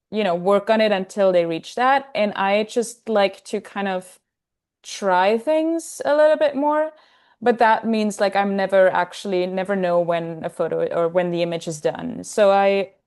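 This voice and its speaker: A woman with a German accent speaks at a moderate pace and medium pitch. Her intonation is lively, with a quiet background. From Austria, Salzburg. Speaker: film photographer. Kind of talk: casual chat.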